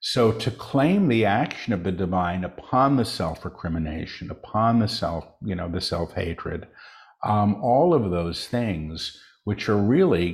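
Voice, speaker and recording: Somewhat breathy and at a fairly slow pace, a man speaks with a fairly low pitch and ordinary pitch variation on a very clean recording with a silent background. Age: 60s. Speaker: spiritual channel and author. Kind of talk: interview.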